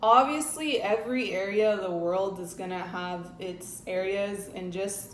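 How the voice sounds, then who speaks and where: A woman's medium-pitched voice with a Spanish accent at a fairly slow pace, amid audible room echo and noticeable background noise. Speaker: travel and lifestyle vlogger. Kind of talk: casual vlog talk to camera.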